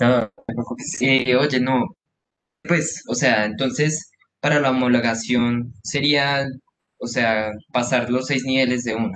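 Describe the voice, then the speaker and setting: Speaking very slowly with long, frequent pauses, a man with a Colombian accent keeps a fairly even intonation over light background noise. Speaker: new university student. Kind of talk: self-introduction. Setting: video call. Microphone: video call.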